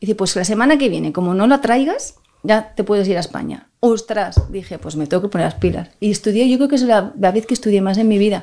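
The voice has a dark, mellow tone and moves at a fairly quick pace with hardly any pauses. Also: woman, medium pitch for a woman, ordinary pitch variation. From Spain, Barcelona (Catalonia). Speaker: violinist. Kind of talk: interview conversation.

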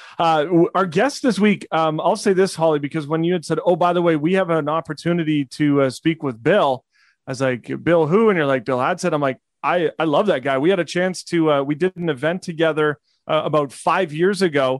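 A man speaks at a fairly quick pace in an unremarkable speaking voice, fairly high in pitch with ordinary variation. The sound is dry and close, with no echo. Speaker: podcast co-host. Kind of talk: interview.

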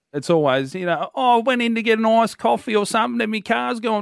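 In an Australian accent, a man with a high pitch and lively intonation talks at a very fast pace, the sound dry and close with no echo on a very clean recording with a silent background. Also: hardly any pauses. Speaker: radio host. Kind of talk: casual chat. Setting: studio.

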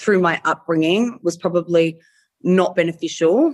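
A woman speaks at medium pitch with an Australian accent. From Australia, Melbourne (Frankston). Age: 30s. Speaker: adult entertainer, former reality TV contestant. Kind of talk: casual interview chat.

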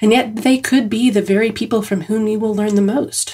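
A woman's warm, dark, mellow voice, somewhat breathy, medium in pitch, at a moderate pace. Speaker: writer reading own essay. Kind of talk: literary essay reading, reflective personal essay read aloud. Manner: measured, warm, earnest and reflective.

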